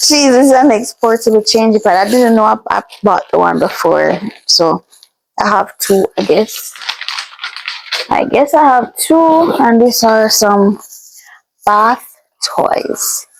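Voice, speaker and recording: A woman with a fairly high pitch speaks at a very slow pace with long, frequent pauses, ordinary pitch variation and very even loudness over music in the background. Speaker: vlogger. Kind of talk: casual unboxing vlog.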